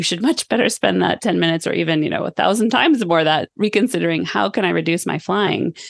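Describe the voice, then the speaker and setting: A woman with an American accent and fairly low pitch talks at a very fast pace with hardly any pauses, vocal fry and lively intonation. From California, Sonoma. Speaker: sustainability scientist. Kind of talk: interview conversation.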